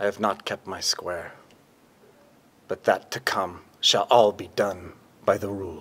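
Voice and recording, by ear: Speaking fairly slowly in a put-on character voice, a man uses a low pitch, a fairly bright tone with a slightly husky edge, and fairly even intonation.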